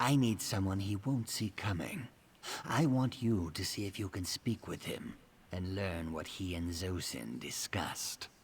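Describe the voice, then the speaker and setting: A man uses a put-on character voice, fairly low in pitch, at a moderate pace. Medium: video game. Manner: measured, dry, precise.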